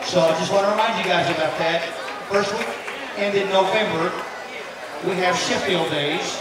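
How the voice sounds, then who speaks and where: A speaker with an American accent talks at a moderate pace with long, frequent pauses. There is audible room echo and loud background noise. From Tennessee. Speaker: event emcee. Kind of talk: emceeing a charity auction at a fan event. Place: tent.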